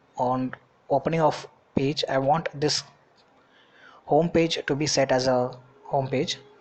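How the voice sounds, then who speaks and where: Noticeable background noise is audible throughout. The talking proceeds at a fairly slow pace. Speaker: web development tutor. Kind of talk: screen-recorded coding tutorial.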